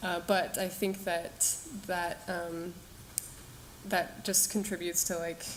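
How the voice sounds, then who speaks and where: With audible room echo, a woman of fairly low pitch speaks at a moderate pace and with fairly even intonation. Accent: American. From Colorado. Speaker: research engineer, program alumna. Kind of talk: panel discussion.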